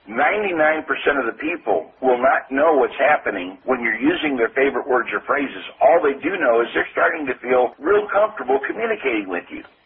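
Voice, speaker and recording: Noticeable background noise surrounds a man speaking in a Midwestern American accent. His pitch swings very widely. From US Midwest. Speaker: sales trainer. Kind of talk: interview.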